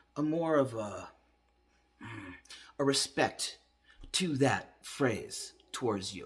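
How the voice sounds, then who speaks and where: Somewhat breathy, a man's voice comes through at a fairly high pitch. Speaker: vlogger sharing transition update. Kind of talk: video diary monologue. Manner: casual, hesitant with fillers.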